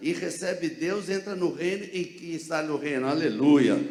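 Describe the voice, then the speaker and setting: This man's voice sits high for a male speaker, with ordinary pitch variation and a moderate pace. Noticeable background noise and audible room echo fill the recording. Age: 70s. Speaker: pastor. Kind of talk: sermon. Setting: church. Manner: animated.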